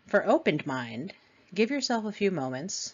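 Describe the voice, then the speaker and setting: Pitch swings very widely while the delivery holds a moderate speed. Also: woman. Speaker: podcast host and addiction counselor trainee. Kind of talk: scripted lecture-style podcast. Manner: reading from notes.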